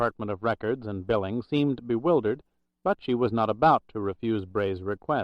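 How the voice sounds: A natural reading voice over a quiet background.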